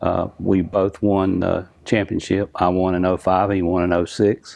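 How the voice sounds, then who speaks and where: In a very deep, low voice, a man talks in a monotone with flat intonation. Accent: North Carolina. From North Carolina, Lumberton. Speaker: drag racing engine builder. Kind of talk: interview.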